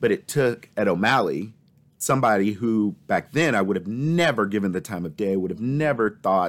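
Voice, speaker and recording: A man with an unremarkable speaking voice talks at a fairly low pitch and a moderate pace, his intonation lively. The recording is very clean, with a silent background. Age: 20s. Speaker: nonprofit executive. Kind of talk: interview conversation.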